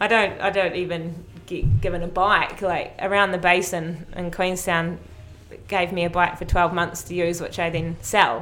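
Speaking with a New Zealand accent, a woman has a fairly low pitch and fairly even intonation at a moderate pace. Audible room echo is present. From New Zealand, North Island. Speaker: mountain biker. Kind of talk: casual interview. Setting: gym studio.

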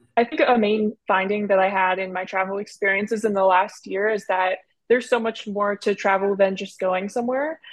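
A woman with an American accent speaks at a fairly quick pace with hardly any pauses, using an ordinary speaking voice at a medium pitch and fairly even intonation. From US Northeast, Philadelphia suburbs. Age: 20s. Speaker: student podcast host. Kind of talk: casual interview.

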